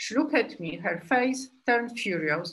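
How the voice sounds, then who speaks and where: This woman has a fairly high, bright, sharp voice and a Polish accent. Her intonation is lively and her pace moderate. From Poland. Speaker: group analyst psychotherapist. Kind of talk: lecture. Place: home room. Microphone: webcam.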